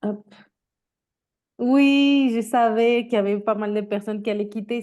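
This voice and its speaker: A woman's fairly high voice with a dark, mellow tone and a Mexican accent, fairly slow and fairly even in intonation. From Mexico. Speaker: career coach. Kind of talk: webinar presentation. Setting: video call. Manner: hesitant, many fillers.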